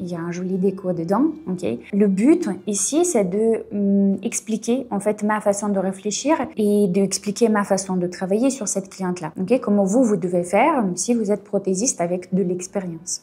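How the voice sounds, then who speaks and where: A woman with an Eastern European accent speaks at a fairly slow pace in a medium pitch, with ordinary pitch variation. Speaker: nail technician and beauty business coach. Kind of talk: tutorial. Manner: frequent fillers and 'ok?' checks.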